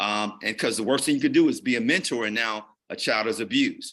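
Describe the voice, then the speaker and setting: A man's fairly high, bright and sharp voice with an American accent and ordinary pitch variation, against a quiet background. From Gary, Indiana. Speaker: physician and violence prevention presenter. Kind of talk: panel talk.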